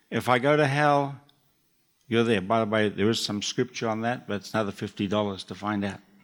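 At a moderate pace, a man with a New Zealand accent talks at medium pitch with ordinary pitch variation. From New Zealand (Auckland). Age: 70s. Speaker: church elder speaker. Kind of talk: short sermon. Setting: church stage with audience.

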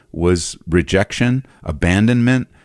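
A man with an American accent and ordinary pitch variation, in a very clean recording with a silent background and a dry, close sound with no echo. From Southern California. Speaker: pastor and author. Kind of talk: interview about personal grief and faith.

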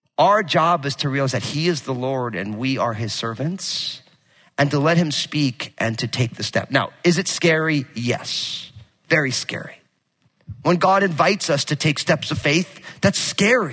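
Speaking at a fairly slow pace, a man with a fairly high voice sounds animated, with lively intonation. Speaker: pastor. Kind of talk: sermon. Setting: church. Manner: loud.

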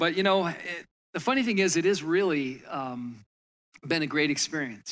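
Speaking with an American accent at a moderate pace, a man has a plain, everyday voice with ordinary pitch variation on a very clean recording with a silent background. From Michigan. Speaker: pastor. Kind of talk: sermon.

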